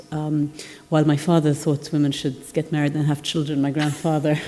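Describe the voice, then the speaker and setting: A woman speaks at a very fast pace with a very deep, low pitch. Noticeable background noise runs underneath. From Palestinian (Middle East). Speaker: entrepreneur and panelist. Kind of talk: conference panel talk. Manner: hesitant, many fillers.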